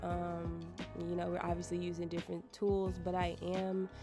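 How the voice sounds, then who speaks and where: A woman with an American accent speaks at a moderate pace while music plays in the background. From United States. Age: 20s. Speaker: beauty vlogger. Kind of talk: hair tutorial talk to camera. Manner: casual, chatty.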